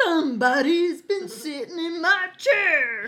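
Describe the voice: In a put-on character voice, the speaker sounds gruff at an extremely high pitch and a fairly slow pace.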